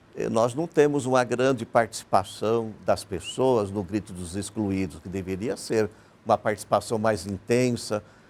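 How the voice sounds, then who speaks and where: At a fairly slow pace, a man with an ordinary speaking voice talks at medium pitch with lively intonation. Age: 60s. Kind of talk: TV panel interview.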